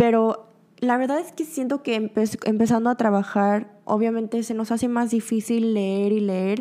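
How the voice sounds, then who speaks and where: Speaking fairly slowly, a woman has a fairly high pitch, fairly even intonation, and a dark, mellow tone. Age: 20s. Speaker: podcast host. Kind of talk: casual monologue. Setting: studio.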